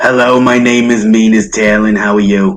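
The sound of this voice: A man's put-on character voice, raspy and medium in pitch, with fairly even intonation at a moderate pace.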